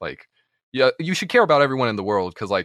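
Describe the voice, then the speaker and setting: A man with an American accent speaks with lively intonation. The sound is dry and close with no echo, over a quiet background. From US, Florida and Michigan. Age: 20s. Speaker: artist and streamer. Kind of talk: casual interview.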